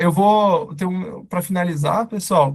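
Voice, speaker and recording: A somewhat breathy male voice. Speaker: startup CEO and co-founder presenting a webinar. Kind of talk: webinar lecture. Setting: live online webinar with chat. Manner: casual, informal.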